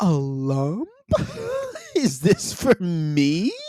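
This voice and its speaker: This is a put-on character voice. Its pitch sits in the middle range. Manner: mock-surprised.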